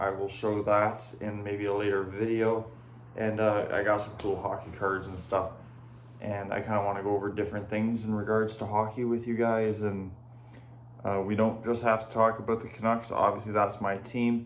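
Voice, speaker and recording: With a Canadian accent, a man speaks at a moderate pace and a fairly low pitch, his intonation monotone and flat, with audible room echo. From Ontario, Canada. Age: 20s. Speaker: hockey YouTuber. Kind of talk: casual channel introduction. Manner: casual, filler-heavy.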